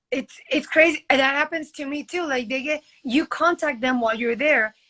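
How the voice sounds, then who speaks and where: A woman uses a raised, projected voice with a bright, sharp tone at a high pitch. She keeps a moderate pace with ordinary pitch variation. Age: 30s. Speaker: model. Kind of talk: casual chat. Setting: live video stream.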